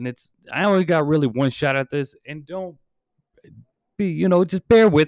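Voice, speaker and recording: A man's lively, fairly quick speech, dry and close with no echo. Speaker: podcast host. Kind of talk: casual chat. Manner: halting.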